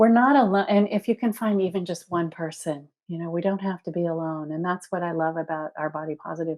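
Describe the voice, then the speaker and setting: An ordinary speaking voice belonging to a woman, somewhat low, moving at an even, medium tempo and shifting in pitch in the usual way. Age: 60s. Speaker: body positivity organization founder and author. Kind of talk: podcast interview. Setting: podcast recording.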